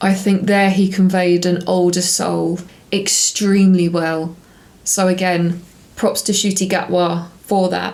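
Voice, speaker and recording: In a British accent, the voice moves at a fairly slow pace with monotone, flat intonation and audible room echo. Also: woman, medium pitch for a woman. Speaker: TV review YouTuber. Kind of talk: casual review monologue. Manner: calmer.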